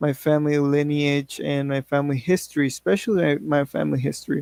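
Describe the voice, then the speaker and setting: A man with a Spanish accent, dry and close with no echo. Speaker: English learner. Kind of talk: class speech, personal story. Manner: halting, with self-corrections.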